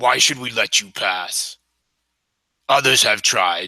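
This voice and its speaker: A man does a raspy, rumbling put-on character voice. He keeps a medium pitch and a fairly slow pace. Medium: actual play. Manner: stern, commanding.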